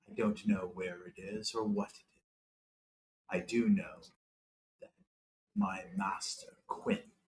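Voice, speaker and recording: Using a put-on character voice, a man speaks at a fairly slow pace and fairly low pitch, with long, frequent pauses and big swings in loudness. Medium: actual play.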